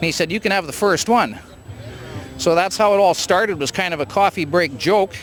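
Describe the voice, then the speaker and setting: Noticeable background noise sits behind a man with a Canadian accent. He speaks at a fairly quick pace with a high pitch and ordinary pitch variation. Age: 60s. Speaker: hot rod builder. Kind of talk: casual interview at car show.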